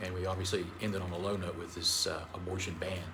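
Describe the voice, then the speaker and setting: Amid noticeable background noise and audible room echo, a man in an American accent talks at a fairly quick pace. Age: 60s. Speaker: state senator. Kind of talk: press conference statement.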